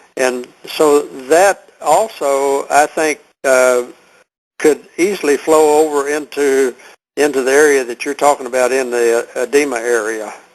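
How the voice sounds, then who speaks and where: Against a quiet background, a man with a Texan accent speaks at a fairly high pitch and a fairly slow pace. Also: ordinary pitch variation. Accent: Texan Southern US. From Texas. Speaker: health product seller. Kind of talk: conference call Q&A. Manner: halting, many fillers.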